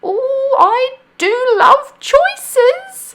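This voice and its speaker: Using a put-on character voice, a woman speaks in a squeaky, extremely high pitch with ordinary pitch variation. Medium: read story. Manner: sweet.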